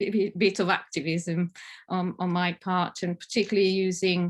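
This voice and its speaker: A woman speaks at a moderate pace and medium pitch against a quiet background. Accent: Italian. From northern Italy, Alps. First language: Italian. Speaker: family therapist. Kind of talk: conference talk. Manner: halting, many fillers.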